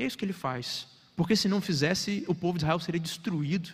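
A man's voice with ordinary pitch variation on a very clean recording against a silent background. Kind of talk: sermon. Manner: formal, earnest preaching that explains the text and urges the congregation.

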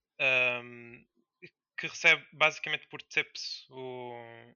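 A man with a fairly high-pitched voice talks at a very slow pace. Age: 20s. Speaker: indie game developer. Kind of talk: interview.

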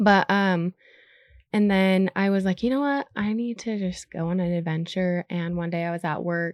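With an unremarkable speaking voice, a woman talks at a moderate pace and medium pitch, with ordinary pitch variation, a dry, close sound with no echo, and a very clean recording over a silent background. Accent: American. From Utah. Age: 30s. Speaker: content creator. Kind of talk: casual chat.

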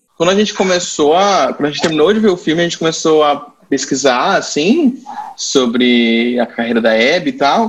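Noticeable background noise behind a man's fairly high voice, swinging very widely in pitch at a moderate pace. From Brazil, Campo Grande (Mato Grosso do Sul). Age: 20s. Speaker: guest discussing television. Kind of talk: casual chat.

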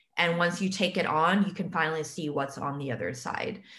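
A woman's fairly low voice at a fairly quick pace, with ordinary pitch variation, a normal speaking voice. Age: 20s. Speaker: podcast host. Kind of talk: casual chat. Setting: video call.

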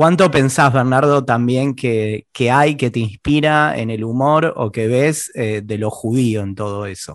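Against a quiet background, a man with an unremarkable speaking voice talks at a fairly slow pace with hardly any pauses, a medium pitch, and ordinary pitch variation. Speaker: podcast host. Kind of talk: interview conversation.

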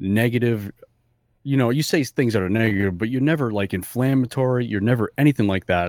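Dry and close with no echo, a man's medium-pitched voice with ordinary pitch variation comes through on a very clean recording with a silent background. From New England (Fall River, Massachusetts). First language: not English. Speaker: podcast co-host. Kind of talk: casual chat.

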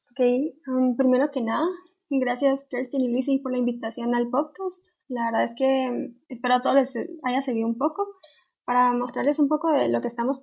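Fairly quick and fairly even in intonation, a woman talks at a high pitch. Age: 20s. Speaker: university student. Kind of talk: casual interview.

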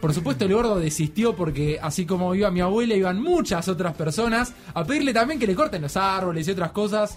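The speaker moves at a fairly quick pace with lively intonation, hardly any pauses and very even loudness. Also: man, high pitch for a man. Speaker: podcast host. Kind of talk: casual chat.

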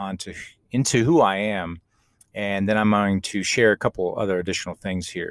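On a very clean recording with a silent background, a man with a plain, everyday voice talks at a fairly quick pace and a fairly low pitch. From Austin, Texas. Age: 40s. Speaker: podcast host and life coach. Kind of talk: solo podcast monologue, personal storytelling.

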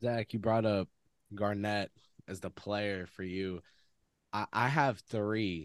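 A man's fairly low voice at a very slow pace, with fairly even intonation, long and frequent pauses, and a dry, close sound with no echo. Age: 20s. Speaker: sports reporter and podcast host. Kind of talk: casual sports talk podcast.

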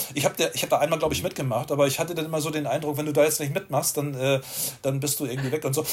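Amid noticeable background noise, a man talks at a very fast pace. His pitch sits fairly high. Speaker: street photographer. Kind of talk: interview.

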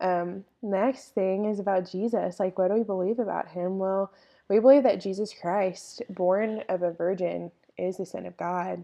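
Speaking with a Texan accent, a woman keeps a medium pitch, fairly even intonation and a moderate pace. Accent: Texan Southern US. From East Texas. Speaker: podcast co-host, college student. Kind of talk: faith statement in casual podcast chat.

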